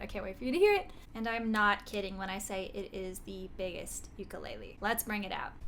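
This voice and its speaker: Through noticeable background noise and audible room echo, a woman talks very fast in an animated tone, her fairly high pitch showing ordinary variation. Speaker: singer-songwriter and ukulele YouTuber. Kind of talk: product unboxing and review.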